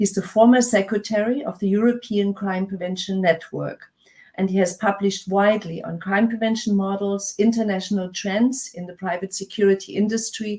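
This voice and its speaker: Here a woman talks at a fairly quick pace, her medium pitch carrying a dark, mellow tone. The voice is somewhat breathy, with fairly even intonation. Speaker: conference MC. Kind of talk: conference introductions. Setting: virtual conference. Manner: hesitant, many fillers.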